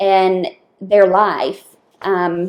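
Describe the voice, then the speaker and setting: In a Southern US accent, a woman speaks with a dark, mellow tone. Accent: Southern US accent, noticeable. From US South, Lower Alabama. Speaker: dental assistant. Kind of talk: casual interview.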